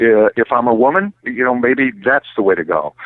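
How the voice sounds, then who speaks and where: Here is a man with an unremarkable speaking voice. His medium pitch moves with lively intonation. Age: 60s. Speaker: automotive recruiting expert. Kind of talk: podcast interview.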